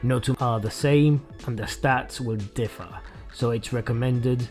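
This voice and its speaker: Music plays in the background as a man speaks at a medium pitch. His intonation stays fairly even. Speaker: video game reviewer. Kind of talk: game review narration.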